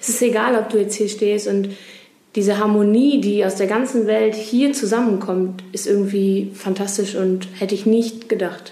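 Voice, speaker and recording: Monotone and flat, the speech runs at a moderate pace amid noticeable background noise and audible room echo. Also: woman. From Germany, Ruhr area (Duisburg). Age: 20s. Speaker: youth association volunteer, pilgrim. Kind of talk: interview. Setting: pilgrim centre at a festival.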